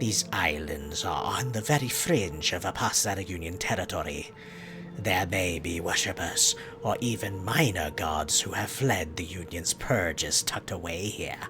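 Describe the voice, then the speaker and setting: Over clear background music, a man performs a put-on character voice with a very deep, low pitch. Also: moderate pace. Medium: game stream. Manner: formal, grave.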